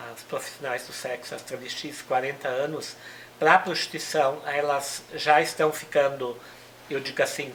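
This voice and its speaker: A woman's very deep, low voice at a moderate pace, with noticeable background noise. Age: 60s. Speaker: human rights activist. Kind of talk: interview.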